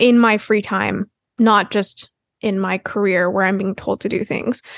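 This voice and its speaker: A woman talks in an unremarkable speaking voice with fairly even intonation. The sound is dry and close with no echo. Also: quiet background. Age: 20s. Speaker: podcast co-host. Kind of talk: casual chat.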